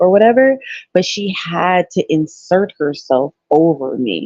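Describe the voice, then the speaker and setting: Speaking at a fairly slow pace, a woman uses lively intonation at a medium pitch. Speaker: caller. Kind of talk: casual chat. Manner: loud.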